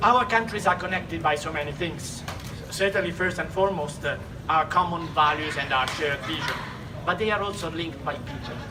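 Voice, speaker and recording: With an Italian accent, a man talks at a fairly quick pace in a high voice with ordinary pitch variation, amid audible room echo and noticeable background noise. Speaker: diplomat. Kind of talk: ceremonial speech. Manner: halting, many fillers.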